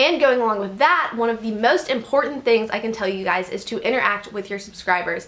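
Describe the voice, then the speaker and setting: Over noticeable background noise, a woman with a fairly high pitch talks at a fairly quick pace with hardly any pauses, lively intonation and an animated tone. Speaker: YouTuber. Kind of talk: vlog advice talk. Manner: fast.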